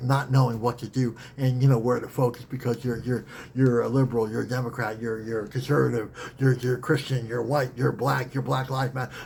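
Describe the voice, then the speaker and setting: Speaking at a very fast pace, a man with a medium pitch is heard over noticeable background noise. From Saskatchewan, Canada (First Nations). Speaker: spiritual teacher and author. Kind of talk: teaching talk in a meditation circle. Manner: repetitive, animated.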